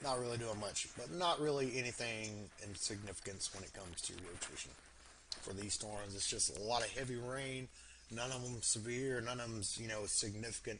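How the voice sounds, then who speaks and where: A man with an American accent is heard with noticeable background noise and audible room echo. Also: medium pitch for a man, ordinary pitch variation. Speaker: storm chaser livestreamer. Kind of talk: live weather commentary. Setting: livestream. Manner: casual, filler-heavy; fast.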